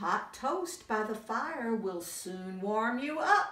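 There is a slight echo as a woman uses a put-on character voice at a very slow pace. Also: fairly high pitch for a woman. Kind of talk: bedtime story. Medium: read story. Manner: warm, gentle. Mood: warm, comforting.

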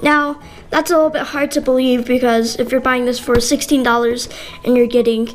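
Music plays behind a woman with a high voice. Her pitch varies in an ordinary way. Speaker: unboxing vlogger. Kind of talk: casual unboxing review. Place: home room.

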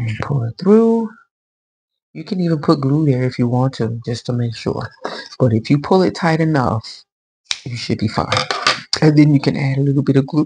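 The speech moves at a moderate pace, broken by long, frequent pauses. Background noise is noticeable throughout. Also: woman. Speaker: crochet tutorial maker. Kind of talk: tutorial. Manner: casual, chatty. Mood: cheerful, pleased.

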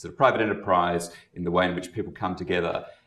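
The man has a very deep, low pitch. Audible room echo surrounds his voice, though the background is quiet. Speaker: activist organization leader; panelist. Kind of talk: panel discussion. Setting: stage with audience. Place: meeting room.

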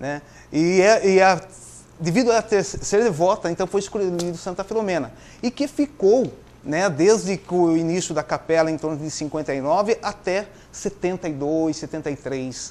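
This man talks at a very slow pace in a high pitch. His pitch varies in an ordinary way. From Votorantim, São Paulo state, Brazil; São Paulo state, Brazil. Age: 50s. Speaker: interview guest. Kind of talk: TV interview; interview answer. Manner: halting. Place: studio. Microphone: lapel.

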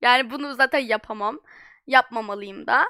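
A woman's raised, projected voice, bright and sharp, at a moderate pace in a dry, close sound with no echo. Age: young. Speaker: streamer. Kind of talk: live stream chat.

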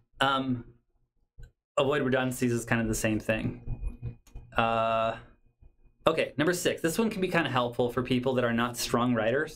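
A moderate pace with ordinary pitch variation and long, frequent pauses, over a quiet background. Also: man, medium pitch for a man. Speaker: university lecturer in rehabilitation counseling. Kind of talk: lecture. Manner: rambling, mumbles at times; casual, conversational.

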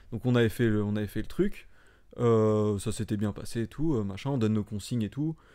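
Against a quiet background, a man with a fairly low pitch and a dark, mellow tone talks at a moderate pace. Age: 20s. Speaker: stuntman; podcast guest. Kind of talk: casual chat. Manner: deadpan. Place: home room. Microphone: studio mic.

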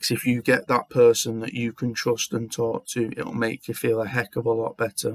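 A man's monotone, flat delivery at a moderate pace, dry with no echo against a quiet background. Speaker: vlogger. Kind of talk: casual talk to camera. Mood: heartfelt, sincere, supportive. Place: home room. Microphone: webcam.

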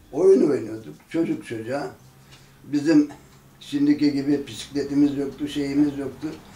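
A man speaks at a fairly high pitch with fairly even intonation and a fairly slow pace. Room echo is audible. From Ertuğrul neighborhood, Tire, Izmir region, Turkey. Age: 70s. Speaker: elderly local resident telling oral history. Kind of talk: oral history interview. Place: home room. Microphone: camera far.

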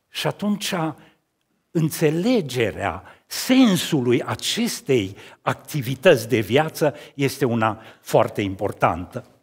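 A man's fairly high, somewhat breathy voice with very wide pitch swings, at a very slow pace over a quiet background. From Romania, Cluj county (Transylvania); Romania. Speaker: sculptor. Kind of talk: talk at an art event. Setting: stage with audience. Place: church. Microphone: headset.

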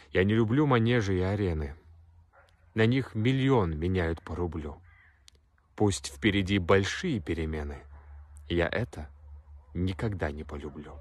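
A man with a very deep, low pitch talks at a fairly slow pace, leaving long, frequent pauses. His intonation is lively and the sound is dry with no echo. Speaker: poetry reader. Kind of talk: poem reading. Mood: serious, intense. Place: open country. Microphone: phone near.

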